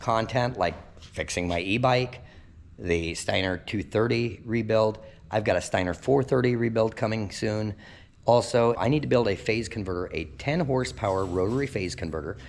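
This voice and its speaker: With vocal fry and lively intonation, a man speaks in a fairly low pitch in a very clean recording with a silent background. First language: Pennsylvania Dutch. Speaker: DIY repair YouTuber. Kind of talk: casual vlog talk to camera.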